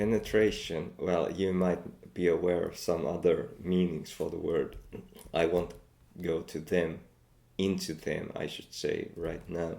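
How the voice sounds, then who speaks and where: The speaker has a Finnish accent. The pace is fairly slow. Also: man. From Finland. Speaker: language learner and video creator. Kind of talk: reading aloud with vocabulary commentary. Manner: halting, with frequent fillers.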